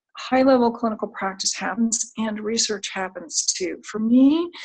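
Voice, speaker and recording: Moderately paced and fairly high in pitch, a woman talks in a plain, everyday voice. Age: 60s. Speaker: clinical psychologist. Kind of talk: career talk.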